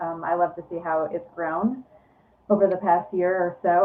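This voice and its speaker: Noticeable background noise surrounds a woman's fairly low-pitched voice. Her intonation stays fairly even. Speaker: running and fitness coach. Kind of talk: casual chat. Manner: quiet.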